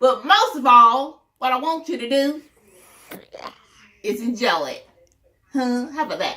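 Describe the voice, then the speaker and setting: Raised and projected, the voice moves at a fairly slow pace with lively intonation, big swings in loudness and long, frequent pauses. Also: woman, high pitch for a woman. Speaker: storytelling grandmother. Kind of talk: reading aloud to children. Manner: animated.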